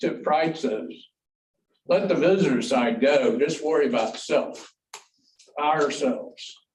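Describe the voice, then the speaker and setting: A man with a US Midwestern accent talks at a fairly slow pace in a fairly high pitch, with very wide pitch swings. His loudness stays very even, and room echo is audible. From Ohio, US Midwest. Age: 70s. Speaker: public commenter at school board meeting. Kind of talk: public comment speech. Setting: board meeting room with audience. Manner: animated.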